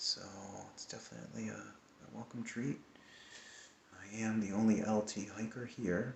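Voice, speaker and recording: A man speaks quietly. His pitch sits in the middle range. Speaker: hiker vlogger. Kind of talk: casual video diary. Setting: indoors at a hostel at night. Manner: quiet, hushed.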